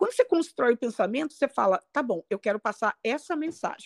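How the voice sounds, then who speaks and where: A woman speaks with a high pitch and very wide swings in her pitch. The recording is very clean and dry, close-miked with no echo and a silent background. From Brazil, Rio de Janeiro. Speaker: English pronunciation coach. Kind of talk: interview.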